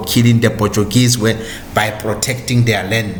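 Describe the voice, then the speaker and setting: Amid noticeable background noise and audible room echo, a man with a South African accent speaks at a medium pitch. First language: Sotho. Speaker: podcast host and history narrator. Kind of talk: history talk.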